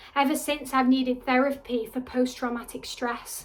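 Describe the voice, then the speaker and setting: A woman with a northern English accent speaks at a high pitch and moderate pace in a flat monotone. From Wigan, North West England. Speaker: actor and spoken word artist. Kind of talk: spoken word poetry performance. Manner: impassioned, defiant.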